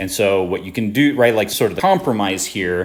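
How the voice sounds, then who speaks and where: A man talks in a normal speaking voice. His pitch is fairly low, with ordinary pitch variation. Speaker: tutor. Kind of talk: tutorial. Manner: casual with many fillers.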